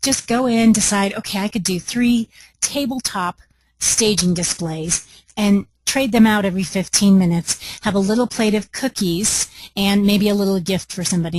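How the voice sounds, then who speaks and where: The background is quiet as a woman talks at a fairly quick pace. Her voice is somewhat breathy. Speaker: home staging business trainer. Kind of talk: webinar. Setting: conference call. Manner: animated.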